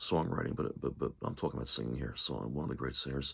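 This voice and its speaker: Speaking at a fairly quick pace, a man with a very deep, low pitch shows vocal fry. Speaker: musician and music commentator. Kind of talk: casual monologue. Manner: halting, many fillers; enthusiastic.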